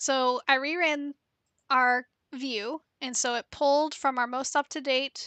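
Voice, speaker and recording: Against a quiet background with a dry sound and no echo, a soft-spoken woman talks fairly slowly in a high, bright, sharp voice with monotone, flat intonation. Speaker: data analytics streamer. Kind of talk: live-stream tutorial. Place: home room. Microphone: headset.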